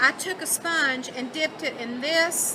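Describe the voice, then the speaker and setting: Noticeable background noise sits behind a woman with a Southern US accent and a high pitch. She talks at a moderate pace with ordinary pitch variation. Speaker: craft product demonstrator. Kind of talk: live product demo. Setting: trade show booth with small audience. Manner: casual, conversational.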